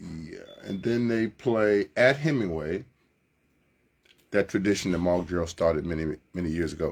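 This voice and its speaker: Here a man with a very deep, low pitch talks at a moderate pace. His pitch varies in an ordinary way, and long pauses come often. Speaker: radio sports host. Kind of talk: live sports radio monologue, casual and chatty. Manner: upbeat, enthusiastic, conversational.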